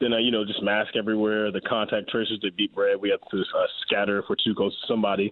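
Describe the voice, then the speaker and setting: Very fast pace from a man with an American accent, fairly low pitch, monotone, flat intonation and very even loudness. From Raleigh, North Carolina, US South. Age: 20s. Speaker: pro football player. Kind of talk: interview.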